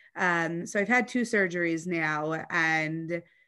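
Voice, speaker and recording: A woman with an American accent speaks in a bright, sharp tone at a fairly low pitch. Her pitch varies in an ordinary way against a quiet background. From US South (Atlanta, Georgia). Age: 30s. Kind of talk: personal interview, emotional testimony. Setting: video call.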